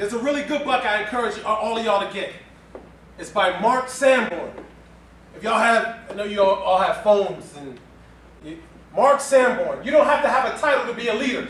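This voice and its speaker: Loud and animated, a man with a New York accent talks at a fairly quick pace in an extremely high pitch, leaving long, frequent pauses amid noticeable background noise and audible room echo. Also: ordinary pitch variation. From New York City (Far Rockaway, Queens). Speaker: motivational speaker. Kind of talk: keynote speech. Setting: stage with audience.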